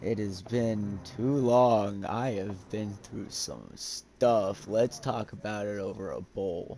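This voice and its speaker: Putting on a character voice, a man speaks very slowly in a fairly low pitch with hardly any pauses. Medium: actual play. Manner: casual, laid-back.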